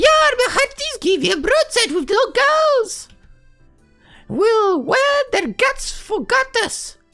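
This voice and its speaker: Shouting in an extremely high-pitched, put-on character voice at a very slow pace, with faint music in the background. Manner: shouting orders, swaggering.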